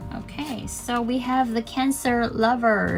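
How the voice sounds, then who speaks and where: A speaker with a non-native accent talks over noticeable background noise. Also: woman. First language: not English. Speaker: tarot reader. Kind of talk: tarot reading monologue. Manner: casual, with many fillers.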